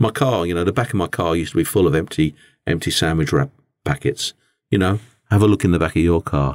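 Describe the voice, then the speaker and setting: In an English accent, a man with a very deep, low pitch speaks at a very fast pace with lively intonation, on a very clean recording with a silent background and a dry, close sound with no echo. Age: 50s. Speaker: business owner and podcast host. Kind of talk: personal monologue. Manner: halting, with many repetitions and fillers.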